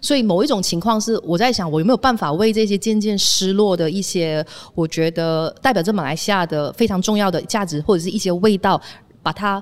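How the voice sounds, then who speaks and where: A woman's medium-pitched, a plain, everyday voice at a fairly quick pace, with ordinary pitch variation. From Malaysia. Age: 30s. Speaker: former radio DJ, media founder. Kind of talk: casual chat. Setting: on location.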